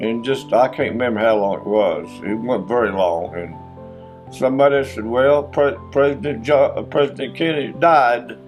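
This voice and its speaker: A man with a Kentucky accent and lively intonation at a moderate pace, music in the background. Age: 80s+. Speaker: retired tree company foreman. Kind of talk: interview answer.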